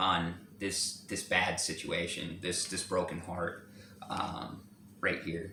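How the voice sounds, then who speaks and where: Audible room echo surrounds a man speaking in a bright, sharp tone. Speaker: tarot reader. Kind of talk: tarot reading. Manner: halting, many fillers and repetitions.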